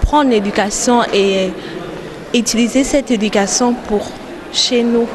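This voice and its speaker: A woman with a fairly high pitch speaks at a fairly slow pace amid noticeable background noise and audible room echo. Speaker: international student. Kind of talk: interview.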